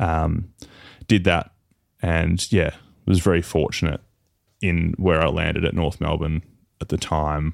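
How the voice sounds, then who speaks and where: A man's very deep, low voice with an Australian accent, fairly even intonation and long, frequent pauses. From Tasmania, Australia. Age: 30s. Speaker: professional footballer. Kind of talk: casual chat.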